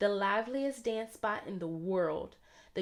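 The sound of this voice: Reading voice, unforced.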